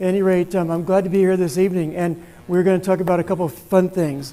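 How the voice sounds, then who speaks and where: A loud man with a high pitch talks at a fairly quick pace. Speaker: guest presenter, amateur radio operator. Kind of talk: presentation to club. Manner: trying to talk loud.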